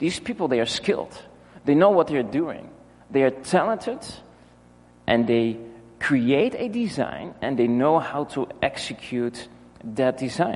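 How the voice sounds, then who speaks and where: With a Dutch accent, a man speaks at a fairly slow pace and a fairly high pitch, his voice making very wide pitch swings between long, frequent pauses. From Netherlands. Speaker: pastor. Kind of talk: sermon. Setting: church.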